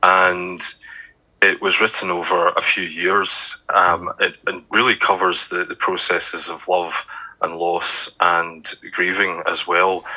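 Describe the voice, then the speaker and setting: Speaking in a Scottish accent, a man talks at a very slow pace. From Scotland, Glasgow. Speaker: author and poet. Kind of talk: interview. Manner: hesitant, many fillers.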